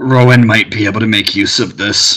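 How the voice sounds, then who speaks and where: A man puts on a raspy character voice at medium pitch. His intonation is monotone and flat. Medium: actual play. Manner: terse, grudging.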